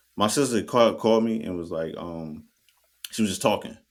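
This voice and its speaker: The speech comes at a moderate pace in an American accent. The recording is very clean, with a silent background. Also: man. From New Jersey. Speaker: podcast co-host. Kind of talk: casual chat. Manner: animated.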